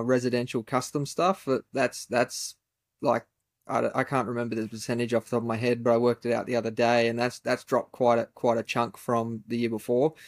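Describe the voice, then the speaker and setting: With an Australian accent, a man speaks at a fairly quick pace and a medium pitch. The recording is very clean, with a silent background and a dry, close sound with no echo. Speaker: furniture maker and podcast host. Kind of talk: casual chat.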